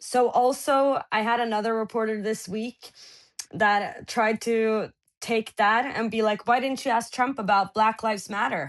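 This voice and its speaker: Speaking with a Norwegian accent, a woman talks at a fairly slow pace with a fairly high pitch and ordinary pitch variation. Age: 20s. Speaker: journalist. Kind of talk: interview. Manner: halting.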